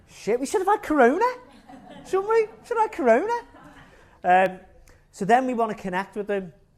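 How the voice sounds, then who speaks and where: At an extremely high pitch with very wide pitch swings, a man talks at a fairly quick pace broken by long, frequent pauses, with noticeable background noise. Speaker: marketing agency speaker at recruitment event. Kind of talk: conference talk. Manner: casual, animated.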